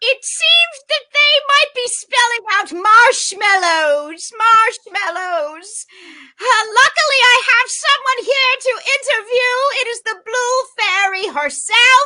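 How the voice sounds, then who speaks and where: A woman's put-on character voice at an extremely high pitch, with lively intonation and a fairly slow pace. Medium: stage play. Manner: fussy, repetitive.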